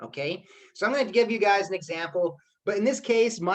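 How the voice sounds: The setting is quiet as a natural reading voice carries the text.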